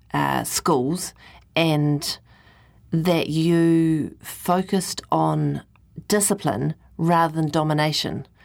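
Very deep, low-pitched woman with fairly even intonation, in a very clean recording with a silent background. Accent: New Zealand. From New Zealand. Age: 40s. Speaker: radio host. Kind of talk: interview.

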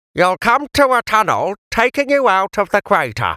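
In a put-on character voice, a man speaks at a high pitch, the sound dry and close with no echo. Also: moderate pace, very even loudness. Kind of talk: old-time variety comedian. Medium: read story. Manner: pompous, petulant, snappish.

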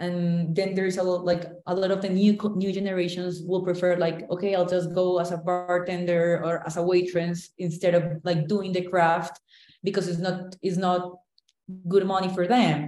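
Speaking at a moderate pace in a Colombian accent, a woman has a fairly low pitch, a dark, mellow tone and a monotone, flat intonation. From Cali, Colombia. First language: Spanish. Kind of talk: interview conversation.

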